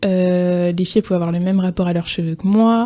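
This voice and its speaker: Her voice sits at a medium pitch, and the woman keeps her intonation fairly even. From France, Alsace (Strasbourg). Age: 20s. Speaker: interview guest, pharmaceutical development officer. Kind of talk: podcast interview testimony. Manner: hesitant, many fillers (euh).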